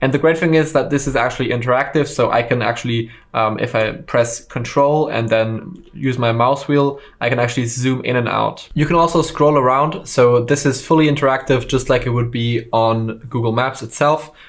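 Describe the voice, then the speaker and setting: A man with a German accent speaks at a moderate pace and medium pitch, with fairly even intonation. His loudness stays very even and he hardly pauses. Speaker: online course instructor. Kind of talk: tutorial. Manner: casual with frequent fillers.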